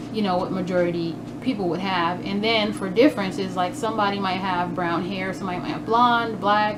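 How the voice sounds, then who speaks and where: A woman talks at a fairly quick pace, medium in pitch with ordinary variation. Noticeable background noise and audible room echo fill the recording. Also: hardly any pauses. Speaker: homeschooling parent vlogger. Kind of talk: casual vlog review. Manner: fast; hesitant, many fillers.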